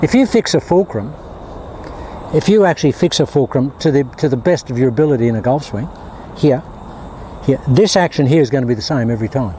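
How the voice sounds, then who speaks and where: Over noticeable background noise, a man talks at a very fast pace with lively intonation and a fairly high pitch, broken by long, frequent pauses. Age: 70s. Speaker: golf instructor. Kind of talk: tutorial. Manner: animated.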